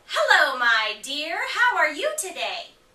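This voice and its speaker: A squeaky, put-on character voice is raised and projected, with very wide pitch swings. It moves at a fairly slow pace. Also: woman, extremely high pitch for a woman. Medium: read story. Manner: smooth, coaxing.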